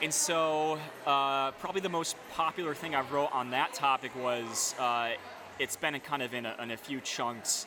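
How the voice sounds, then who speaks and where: With an American accent, a man talks at a moderate pace in a fairly high pitch with ordinary pitch variation and an ordinary speaking voice. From upstate New York. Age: 30s. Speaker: beer writer. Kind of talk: casual interview. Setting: brewery taproom, rain in background.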